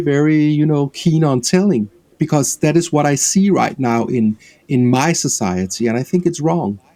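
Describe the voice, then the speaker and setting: With a Danish accent and a dark, mellow tone, a man talks at a moderate pace with fairly high pitch, lively intonation and very even loudness. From Denmark. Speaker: film director. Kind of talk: interview.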